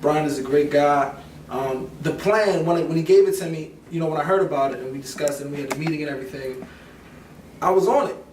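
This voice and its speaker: At a very fast pace, a man talks with a fairly high pitch and ordinary pitch variation. Room echo is audible and background noise is noticeable. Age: 20s. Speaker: musician and songwriter. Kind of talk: interview.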